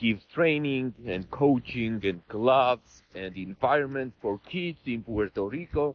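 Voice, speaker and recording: Using lively intonation and hardly any pauses, a man with a non-native accent and medium pitch speaks at a fairly slow pace. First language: not English. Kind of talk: interview.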